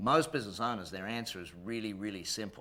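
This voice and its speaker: Here a man speaks at a very fast pace. His tone is bright and sharp, with a fairly low pitch. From Australia. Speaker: business coach and company executive. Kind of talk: business seminar presentation.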